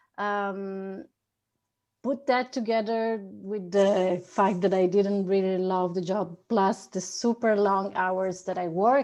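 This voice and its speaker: In a quiet background, a woman with a medium-pitched voice speaks very slowly with fairly even intonation. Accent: Italian. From Italy. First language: Italian. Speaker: 3D artist and architect. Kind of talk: conference presentation.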